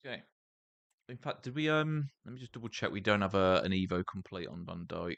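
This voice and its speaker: Speaking at a fairly quick pace with lively intonation and big swings in loudness, a man sounds dry and close with no echo. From England. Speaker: gaming streamer. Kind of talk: live gameplay stream chat. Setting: live stream. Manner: casual, conversational.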